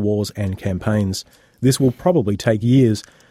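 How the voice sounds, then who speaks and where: Speaking at a fairly quick pace with an Australian accent, a man has a dark, mellow tone, heard in a dry, close sound with no echo on a very clean recording with a silent background. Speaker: radio host. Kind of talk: casual chat.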